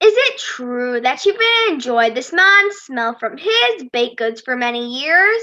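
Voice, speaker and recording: A woman's put-on character voice, high-pitched, with very wide swings in pitch and a fairly slow pace. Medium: stage play. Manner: authoritative.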